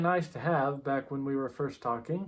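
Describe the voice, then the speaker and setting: At a moderate pace, a man with an American accent speaks in an unremarkable speaking voice with ordinary pitch variation. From USA. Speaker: vlogger. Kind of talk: casual vlog talk.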